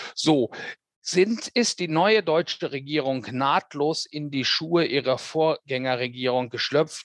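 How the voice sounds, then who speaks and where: A man speaks very slowly in a fairly high voice with ordinary pitch variation, and the sound is dry and close with no echo. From Germany, Ruhr area (Hamm). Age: 50s. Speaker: radio correspondent. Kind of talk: interview. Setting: remote call.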